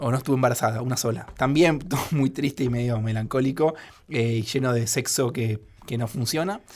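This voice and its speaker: A man with a Rioplatense accent speaks at medium pitch with ordinary pitch variation. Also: fairly quick pace. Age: 30s. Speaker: writer and screenwriter. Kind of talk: radio interview.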